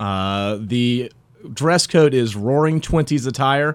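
On a very clean recording with a silent background, a man with a plain, everyday voice and an American accent speaks at a medium pitch with ordinary pitch variation. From Raleigh, North Carolina. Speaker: bar owner. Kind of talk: radio interview. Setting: studio.

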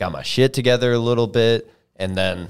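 This man has an ordinary speaking voice, moving at a moderate pace with ordinary pitch variation in a very clean recording with a silent background. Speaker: podcast host. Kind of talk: casual chat.

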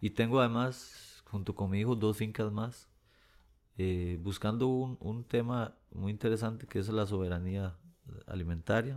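A man with a fairly low pitch and a plain, everyday voice, in a very clean recording with a silent background. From Costa Rica, Pérez Zeledón. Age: 50s. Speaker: singer-songwriter. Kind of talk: interview conversation.

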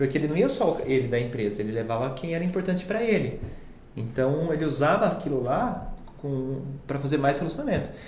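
A man with a fairly high pitch and lively intonation talks at a fairly quick pace, with noticeable background noise and audible room echo. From Itatiba, São Paulo interior, Brazil. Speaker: social media agency CEO. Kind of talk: casual interview.

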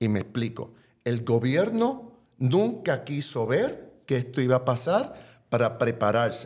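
A man speaks at a very slow pace with a medium pitch. His voice is somewhat breathy and his intonation lively. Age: 60s. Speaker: advocacy organization director. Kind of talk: panel discussion.

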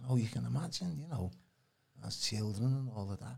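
A somewhat breathy male voice at medium pitch, with ordinary pitch variation. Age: 60s. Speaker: alternative healing practitioner. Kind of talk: casual chat.

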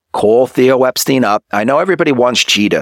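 A man at a moderate pace with lively intonation, in a dry, close sound with no echo. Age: 30s. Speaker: sports podcast host. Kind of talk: solo sports commentary monologue. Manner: animated.

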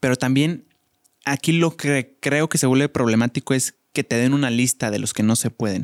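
A man speaks at a medium pitch and moderate pace in a Mexican accent. His pitch variation is ordinary, and the sound is dry and close with no echo. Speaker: podcast co-host. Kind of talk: casual chat.

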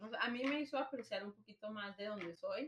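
The woman's pitch varies in an ordinary way as she talks fairly quickly. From Nogales, Arizona–Sonora border. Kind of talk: casual chat.

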